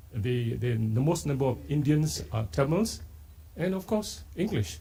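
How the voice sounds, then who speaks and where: Somewhat breathy and dark, mellow in tone, a man with a Malaysian accent speaks at a fairly slow pace and medium pitch, using very wide pitch swings. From Singapore. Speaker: poet. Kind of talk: literary festival talk with poetry reading.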